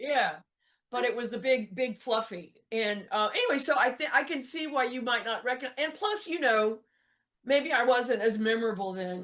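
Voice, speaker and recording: A loud woman with a Texan accent speaks at a moderate pace in an animated tone, her high-pitched voice rising and falling with lively intonation. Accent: Texan American. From US South. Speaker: motivational speaker and comedian. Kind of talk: interview.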